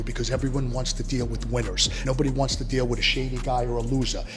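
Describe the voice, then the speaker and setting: Music plays in the background while a man talks amid audible room echo. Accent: New York. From US Northeast (New York). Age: 60s. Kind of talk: street interview.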